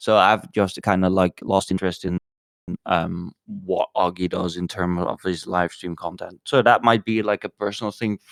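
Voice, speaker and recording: A man with a non-native accent speaks at a moderate pace in a very deep, low voice with fairly even intonation. The sound is dry and close, with no echo. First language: not English. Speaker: podcast co-host. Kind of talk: casual chat. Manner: halting, many fillers and restarts.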